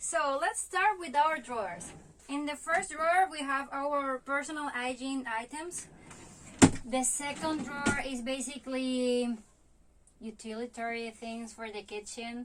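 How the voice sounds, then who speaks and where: In a Spanish accent, a woman speaks with a high pitch. Her pace is fairly slow and her pitch varies in an ordinary way. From Venezuela. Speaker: van life vlogger. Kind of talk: home tour. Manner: halting, many fillers.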